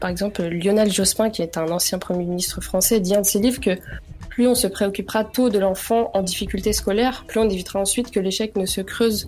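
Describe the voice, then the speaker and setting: With noticeable background noise behind her, a woman of medium pitch speaks at a fairly quick pace with fairly even intonation. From France, Vannes (Brittany), Chechen family. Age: young. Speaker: law student. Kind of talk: radio interview. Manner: hesitant, many fillers.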